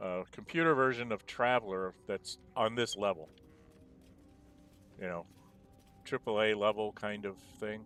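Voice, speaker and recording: A man speaks at a fairly low pitch over music in the background. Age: 60s. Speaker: gaming streamer, retired programmer. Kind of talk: casual gameplay commentary.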